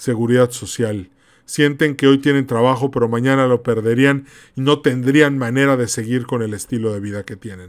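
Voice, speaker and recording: At a moderate pace and medium pitch, a man speaks in a very clean recording with a silent background. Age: 40s. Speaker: podcast host. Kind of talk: solo commentary monologue. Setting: podcast recording. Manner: animated.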